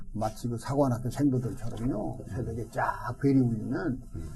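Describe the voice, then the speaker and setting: A man speaks at a moderate pace. The recording carries noticeable background noise and audible room echo. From South Korea, Daejeon (Chungcheong). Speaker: retired pastor. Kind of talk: interview, life story.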